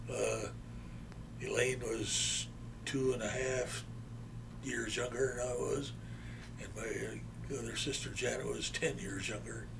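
Against noticeable background noise, a man with an American accent talks at a very slow pace, leaving long, frequent pauses. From Southern California. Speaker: war veteran. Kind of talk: interview.

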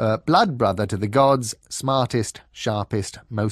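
Ordinary pitch variation accompanies plain reading aloud.

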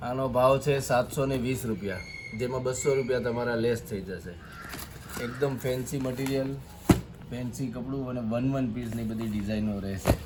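A man's voice carries audible room echo and noticeable background noise. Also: medium pitch for a man. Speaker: saree shop owner. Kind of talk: sales pitch. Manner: animated.

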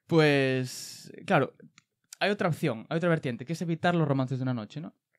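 Against a quiet background, a man talks in a fairly high voice. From Andalusia, Spain. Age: 30s. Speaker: comedian. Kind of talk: comedic banter. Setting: studio. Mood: joking, playful. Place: studio. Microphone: studio mic.

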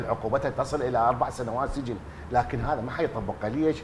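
A man talks with an Iraqi accent over light background noise. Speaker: legal expert; guest. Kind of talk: TV talk show discussion. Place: studio. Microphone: lapel.

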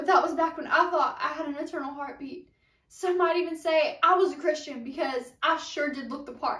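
A woman speaks at a fairly quick pace in a high voice, dramatic in tone with ordinary pitch variation. The background is quiet, with audible room echo. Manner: dramatic, earnest rhythmic delivery with rhyming cadence; direct pleading address to the listener, rising urgency. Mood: earnest, emotional. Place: home room. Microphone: camera far.

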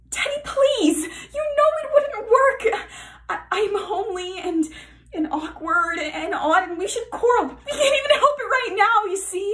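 A woman with an extremely high voice talks at a fairly slow pace, her pitch swinging very widely against a quiet background. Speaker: actor doing an audition self-tape. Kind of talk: acted dramatic monologue. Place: home room. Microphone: phone near.

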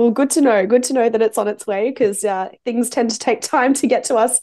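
A woman with an Australian accent speaks at a fairly quick pace in a high voice, her pitch varying in an ordinary way against a quiet background. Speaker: music interviewer. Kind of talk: interview. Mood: friendly, enthusiastic. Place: home room. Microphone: video call.

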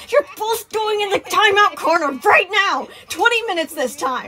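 In a put-on character voice, a woman speaks at a moderate pace with an extremely high pitch, a bright, sharp tone and lively intonation.

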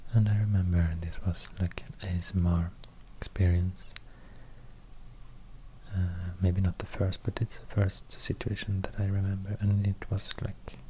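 A soft-spoken man at a fairly slow pace, with noticeable background noise behind him. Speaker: ASMR creator. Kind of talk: casual soft-spoken storytelling. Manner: soft, hushed ASMR talk. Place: home room. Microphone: studio mic.

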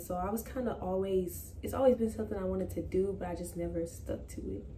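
Light background noise sits behind a woman talking at a moderate pace. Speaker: vlogger. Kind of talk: casual vlog chat. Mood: relaxed, playful. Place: home room. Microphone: phone near.

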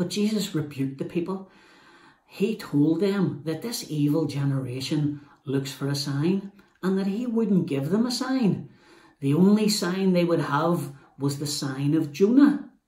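A man with a dark, mellow tone talks at a fairly slow pace amid audible room echo. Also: fairly high pitch for a man, lively intonation.

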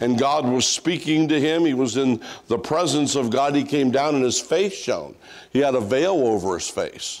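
A man's speech shows ordinary pitch variation, with a quiet background. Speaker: pastor. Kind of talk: sermon. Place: church.

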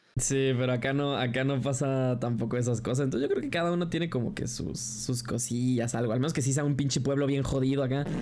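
A man speaks very fast at a medium pitch, with hardly any pauses and very even loudness. Background noise is noticeable. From Guadalajara, Mexico. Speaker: streamer. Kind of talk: casual reaction chat. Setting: livestream. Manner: animated.

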